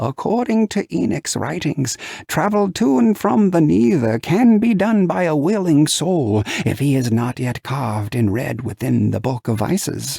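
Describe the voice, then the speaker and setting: A man's medium-pitched put-on character voice at a moderate pace, full of very wide pitch swings. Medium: read story. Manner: grave, explanatory.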